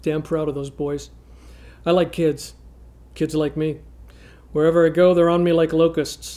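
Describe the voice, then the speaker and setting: A man speaks at a moderate pace in a dark, mellow tone with monotone, flat intonation. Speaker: actor playing a gruff cop on a dating video. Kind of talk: comedic scripted monologue. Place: studio.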